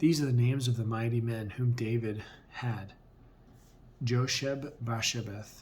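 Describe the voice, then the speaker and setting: Soft-spoken and somewhat breathy, a man talks at a fairly slow pace with medium pitch and fairly even intonation. Long, frequent pauses and audible room echo mark the clip. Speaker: bible reader. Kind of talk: reading aloud. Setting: at home on camera.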